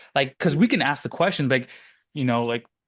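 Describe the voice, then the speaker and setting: Over a quiet background, a man talks at a very fast pace with a fairly high pitch and lively intonation. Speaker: business coach podcast host. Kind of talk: casual chat.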